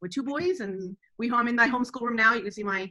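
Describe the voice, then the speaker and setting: Speaking very fast with lively intonation, a woman with an American accent holds a high pitch. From Texas. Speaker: homeschooling mother. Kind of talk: interview conversation.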